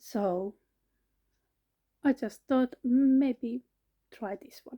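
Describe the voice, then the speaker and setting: The voice has a dark, mellow tone and comes with a Finnish accent. The sound is dry and close, with no echo. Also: woman, high pitch for a woman, ordinary pitch variation. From Finland. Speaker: vlogger, cancer patient. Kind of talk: personal vlog monologue. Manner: halting, many fillers.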